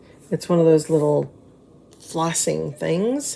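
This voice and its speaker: Noticeable background noise runs throughout. Through it, a woman talks. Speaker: crafts demonstrator. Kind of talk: live craft tutorial. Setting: live stream. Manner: casual, chatty.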